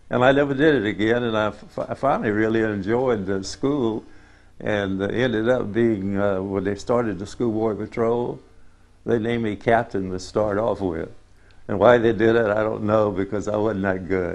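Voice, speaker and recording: With a Southern US accent, a man speaks at a moderate pace in a fairly low voice and fairly even intonation. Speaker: family elder interviewee. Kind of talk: oral history interview. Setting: on a farm.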